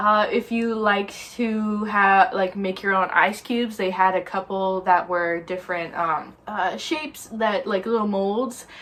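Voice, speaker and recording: A woman speaks at a fairly slow pace with hardly any pauses, her medium-pitched voice keeping fairly even intonation over noticeable background noise. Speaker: lifestyle vlogger. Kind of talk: casual chat. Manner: chatty, many fillers.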